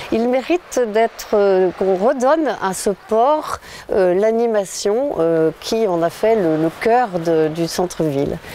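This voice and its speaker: A woman talks at a very slow pace in a medium pitch. Noticeable background noise runs behind her. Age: 60s. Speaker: local election candidate. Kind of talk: interview. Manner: hesitant, many fillers.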